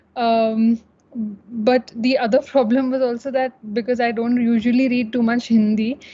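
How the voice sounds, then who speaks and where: Her dark, mellow voice is fairly high for a woman, delivered at a fairly slow pace with monotone, flat intonation. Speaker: student panelist. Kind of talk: panel discussion. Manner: halting.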